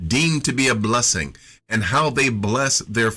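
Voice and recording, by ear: The voice is a natural one. It reads a passage aloud.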